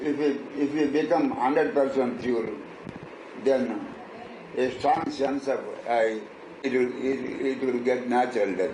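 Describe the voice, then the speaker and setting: The speech moves at a fairly slow pace, broken by long, frequent pauses. Noticeable background noise can be heard. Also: man, medium pitch for a man, fairly even intonation. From Andhra Pradesh, South India. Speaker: spiritual teacher. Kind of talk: interview answer.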